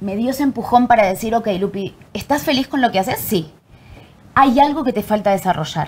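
A woman's lively, somewhat breathy voice in an Argentine accent, fairly high in pitch and at a fairly quick pace. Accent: Argentine Spanish, voseo. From Argentina. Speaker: actress and acting teacher. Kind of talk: casual chat.

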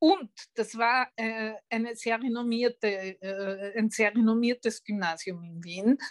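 Very slow speech from a woman, fairly high in pitch with ordinary pitch variation, in a dry, close sound with no echo. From Vienna, Austria. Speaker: retired journalist and writer. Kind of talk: interview.

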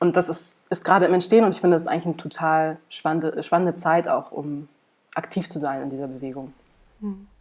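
A woman speaks at a very fast pace in a fairly low pitch, her intonation fairly even but her loudness swinging widely. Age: 30s. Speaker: climate researcher and activist. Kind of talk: interview.

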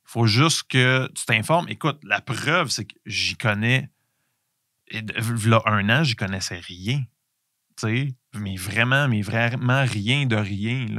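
Captured as a very clean recording with a silent background, a man with a Quebec accent speaks very slowly at a medium pitch with ordinary variation, his bright, sharp tone swinging widely in loudness, the sound dry and close with no echo. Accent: Québécois French. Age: 40s. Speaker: podcast host, entrepreneur. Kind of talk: solo podcast monologue. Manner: halting, many fillers and repetitions.

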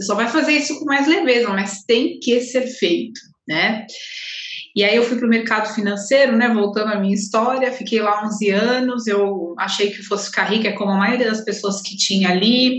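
A woman with a fairly high voice talks amid noticeable background noise and audible room echo. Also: ordinary pitch variation, moderate pace. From Guarulhos, São Paulo, Brazil. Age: 30s. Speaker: holistic therapist. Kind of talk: casual interview.

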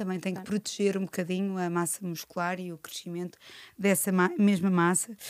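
A woman with an ordinary speaking voice at medium pitch and moderate pace, on a very clean recording with a silent background and a dry, close sound with no echo. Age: 40s. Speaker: podcast host and nutritionist. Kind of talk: casual interview.

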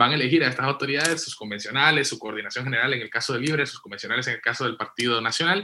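A man's fairly high-pitched voice with a bright, sharp tone. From western Honduras. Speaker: podcast co-moderator, political analyst. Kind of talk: political analysis in panel discussion.

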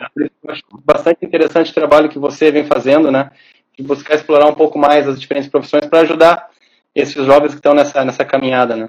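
Monotone and flat, a man with a fairly high pitch speaks at a very fast pace. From southern Brazil, Porto Alegre. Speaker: agronomist. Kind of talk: casual interview on a live stream.

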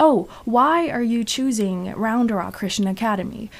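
A woman with a Chinese accent, at a moderate pace and with ordinary pitch variation. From China. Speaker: student photographer and actor. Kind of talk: casual interview. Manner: halting.

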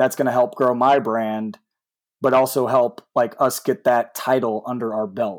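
On a very clean recording with a silent background, a man speaks at a fairly slow pace, medium pitch and ordinary pitch variation, in an unremarkable speaking voice. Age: 30s. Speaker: esports team owner. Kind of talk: casual interview chat.

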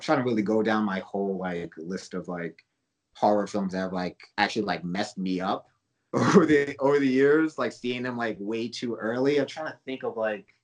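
Using a normal speaking voice, a man talks at a moderate pace in a fairly low pitch with lively intonation. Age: 30s. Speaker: horror film director. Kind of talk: casual interview chat.

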